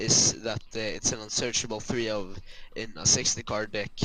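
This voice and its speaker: Speaking with a slight Swedish accent, a man uses a medium pitch, ordinary pitch variation and a moderate pace amid noticeable background noise. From Sweden. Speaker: card game player, opponent. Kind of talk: casual gameplay commentary chat. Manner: halting, many filler sounds.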